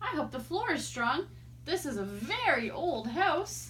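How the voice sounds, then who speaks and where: With clear background noise behind her, a woman uses a put-on character voice at a fairly slow pace. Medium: read story.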